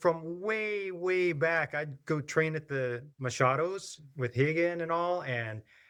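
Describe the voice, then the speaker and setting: Very slowly, a man with an American accent talks in a fairly high pitch with lively intonation. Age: 60s. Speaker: martial arts instructor. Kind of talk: interview conversation.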